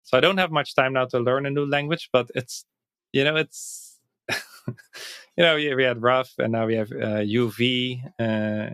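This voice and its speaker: At a moderate pace, a man with a Dutch accent speaks at medium pitch with ordinary pitch variation, the sound dry and close with no echo. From Netherlands. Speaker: Python coach and platform co-founder. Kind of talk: podcast interview. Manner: halting, with repetitions.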